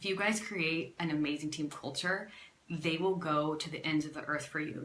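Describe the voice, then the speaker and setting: Audible room echo surrounds a woman with a very deep, low voice. She talks at a fairly quick pace in an animated tone. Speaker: network marketing team leader. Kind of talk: live stream motivational talk. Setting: facebook live video. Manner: fast.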